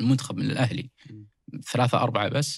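Speaking at a very fast pace, a man with a medium pitch keeps a fairly even intonation and sounds somewhat breathy. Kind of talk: casual sports discussion.

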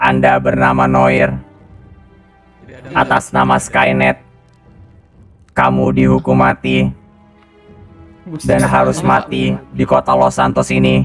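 With faint music in the background, a put-on character voice speaks at a fairly slow pace with monotone, flat intonation. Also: man, very deep, low pitch for a man. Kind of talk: menacing announcement. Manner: robotic, mechanical.

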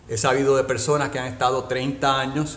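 In a room with audible echo, a man speaks at a fairly quick pace with a medium pitch, a fairly bright tone and little pitch movement.

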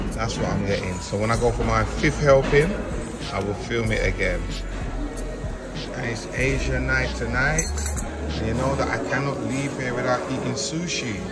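A man speaks with long, frequent pauses. Loud music plays in the background. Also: moderate pace. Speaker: travel vlogger. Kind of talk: casual vlog chat. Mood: cheerful, playful. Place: cafe. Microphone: phone near.

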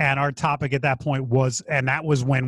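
A man's somewhat breathy voice at a fairly quick pace, dry with no echo, against a quiet background. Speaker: podcast co-host. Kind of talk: podcast discussion. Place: home room. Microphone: studio mic.

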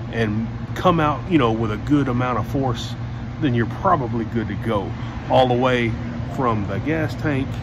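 Amid noticeable background noise, a man talks at a fairly slow pace with ordinary pitch variation. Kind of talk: tutorial. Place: workshop. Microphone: phone near.

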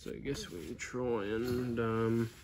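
At a slow pace, a man speaks at medium pitch with a slightly mellow tone and ordinary pitch variation.

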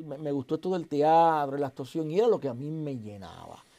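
Over a quiet background, a man speaks at a moderate pace in a dark, mellow tone. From southern Puerto Rico (Santa Isabel); Puerto Rico. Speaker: actor and comedian; actor, comedian. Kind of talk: casual interview chat. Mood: animated storytelling. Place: studio.

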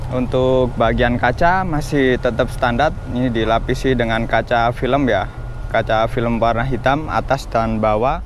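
Speaking at a fairly slow pace with fairly even intonation and very even loudness, a man is heard in a dry sound with no echo over light background noise. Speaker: car reviewer. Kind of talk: commentary. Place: street. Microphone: phone near.

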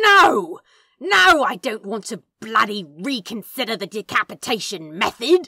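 On a very clean recording with a silent background, a put-on character voice growls at a fairly high pitch. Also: moderate pace. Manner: growling, exasperated.

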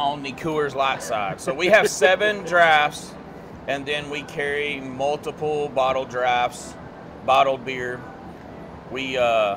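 A man speaks at a very slow pace with ordinary pitch variation. Noticeable background noise runs behind him. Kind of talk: interview answer. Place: bar.

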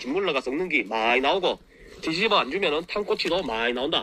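With a Gyeongsang accent, a man speaks at a fairly quick pace in a high pitch with very wide pitch swings, the sound dry with no echo and light background noise behind him. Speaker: farmer, agricultural company head. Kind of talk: farming how-to talk to camera. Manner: casual, folksy. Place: farm. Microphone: phone near.

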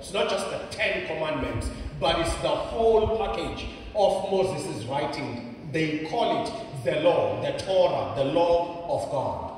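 A man talks over light background noise, with strong echo filling the room. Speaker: preacher. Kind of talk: sermon. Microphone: handheld.

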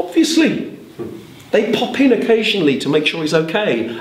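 Audible room echo surrounds a man speaking at a moderate pace. His tone is playful, and his pitch swings very widely. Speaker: storyteller. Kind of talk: live storytelling performance. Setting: storytelling club with audience. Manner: animated, conversational, dramatic; playful, with asides to audience. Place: hall. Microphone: camera far.

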